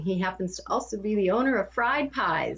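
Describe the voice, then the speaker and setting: This is a woman speaking with a Midwestern US accent. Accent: US Midwest. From Kansas. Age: 50s. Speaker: cancer patient and health coach. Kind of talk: interview.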